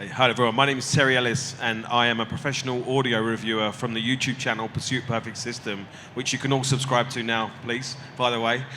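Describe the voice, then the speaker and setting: A man with a British accent talks at a very fast pace, at medium pitch, in a monotone, flat delivery. Noticeable background noise and audible room echo fill the recording. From Britain. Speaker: audio reviewer and calibrator. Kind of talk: panel discussion. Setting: stage with audience.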